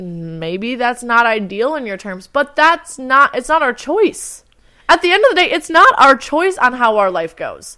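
Speaking at a fairly slow pace, a woman uses a raised, projected voice with high pitch, very wide pitch swings and a bright, sharp tone. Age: 20s. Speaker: podcast co-host. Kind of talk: casual chat.

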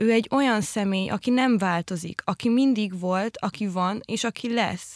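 A woman talks at a moderate pace with hardly any pauses, her medium pitch showing ordinary variation. The sound is dry and close with no echo, in a very clean recording with a silent background. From rural Hungary. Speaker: podcast host. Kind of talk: casual chat. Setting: studio.

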